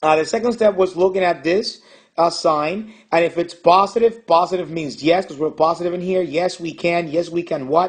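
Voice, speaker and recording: A man speaks with a high pitch. His pitch varies in an ordinary way at a moderate pace. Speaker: math teacher. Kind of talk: tutorial.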